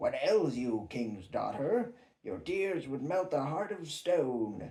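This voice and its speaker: Putting on a character voice, a man speaks at a fairly slow pace in a fairly high pitch. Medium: read story. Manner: insistent.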